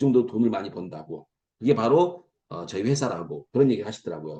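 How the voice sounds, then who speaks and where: A man talks very fast at a medium pitch with a dark, mellow tone. His pitch swings very widely and his loudness varies a lot. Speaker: lecturer at online business meeting. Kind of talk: promotional lecture. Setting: video call. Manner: animated.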